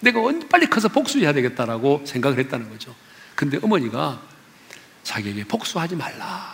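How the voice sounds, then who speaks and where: Noticeable background noise surrounds a man speaking at a fairly quick pace with long, frequent pauses. His fairly high pitch swings very widely in an animated tone. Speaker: pastor. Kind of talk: sermon. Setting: church.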